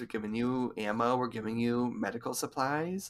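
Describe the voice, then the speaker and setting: A man speaks at a moderate pace in an ordinary speaking voice, medium in pitch. The recording is very clean, with a silent background. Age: 20s. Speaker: podcast co-host. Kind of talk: casual chat.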